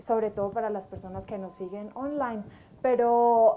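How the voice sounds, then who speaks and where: A woman speaks with an Antioquian accent at a fairly high pitch. Noticeable background noise runs underneath. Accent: paisa, sing-song. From Colombia, Antioquia (paisa region). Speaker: government trade official and lawyer, lecturer. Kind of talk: lecture. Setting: university lecture hall, live audience and streamed online. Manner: hesitant fillers (eh, em).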